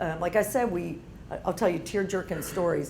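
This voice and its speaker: A woman's fairly low-pitched voice with ordinary pitch variation, audible room echo and noticeable background noise. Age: 50s. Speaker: entrepreneur and business owner. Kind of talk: guest talk to university audience. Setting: room with live audience.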